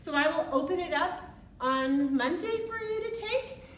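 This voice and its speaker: Loud and high-pitched, a woman speaks with very wide pitch swings. Room echo is audible. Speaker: anatomy college instructor. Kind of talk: lecture. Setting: classroom. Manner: animated.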